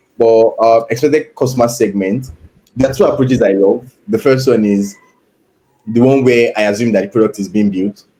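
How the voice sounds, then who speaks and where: A man's medium-pitched voice with a dark, mellow tone and fairly even intonation. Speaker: product manager. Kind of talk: live problem-solving walkthrough. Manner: fast; thinking aloud, hesitant fillers.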